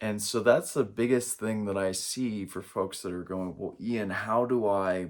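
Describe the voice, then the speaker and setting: A man with an American accent at a fairly slow pace, fairly low in pitch, with fairly even intonation and hardly any pauses. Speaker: spiritual coach. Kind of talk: spiritual talk to camera. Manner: halting, with many fillers.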